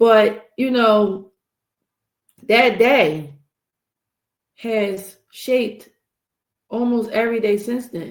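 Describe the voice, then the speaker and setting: The speaker goes at a very slow pace with ordinary pitch variation and long, frequent pauses. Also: woman, fairly high pitch for a woman. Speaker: podcast host. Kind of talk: solo podcast monologue. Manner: casual, conversational.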